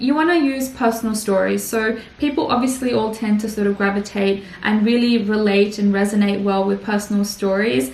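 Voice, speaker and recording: Noticeable background noise and audible room echo around a fairly quick woman's voice, medium in pitch, with ordinary pitch variation. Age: 20s. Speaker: YouTuber and risk manager. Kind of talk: presentation talk. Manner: fast; frequent filler words.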